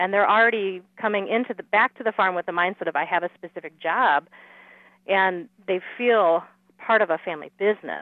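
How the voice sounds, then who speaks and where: A woman with an American accent talks at a fairly quick pace. Her medium pitch shows ordinary variation. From US Midwest, southern Wisconsin. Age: 30s. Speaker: agricultural market advisor. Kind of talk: interview.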